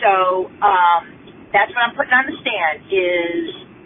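A woman talks rather slowly. Her pitch rises and falls very widely amid noticeable background noise. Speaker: listener caller. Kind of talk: voicemail rant. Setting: phone call.

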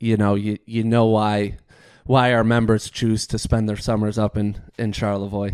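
A man with a fairly low pitch speaks in a monotone, flat intonation at a moderate pace, on a very clean recording with a silent background. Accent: Upper Midwest. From Michigan. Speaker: golf course superintendent. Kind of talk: casual interview. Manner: halting, frequent fillers and repeats.

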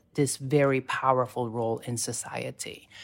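A woman speaks with a Filipino accent at a fairly slow pace. The recording is very clean with a silent background. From Philippines. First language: Tagalog. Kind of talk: interview conversation.

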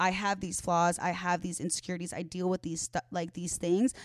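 A woman with an American accent and a normal speaking voice, medium in pitch and fairly quick, in a dry, close sound with no echo. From Chicago suburbs, Illinois. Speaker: social media influencer. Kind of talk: casual chat. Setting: home recording. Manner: fast.

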